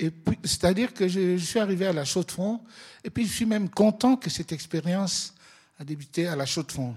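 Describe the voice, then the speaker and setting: Over a silent background in a very clean recording, a man speaks at a moderate pace with lively intonation. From Congo (DRC). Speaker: photographer and social worker. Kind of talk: exhibition opening talk.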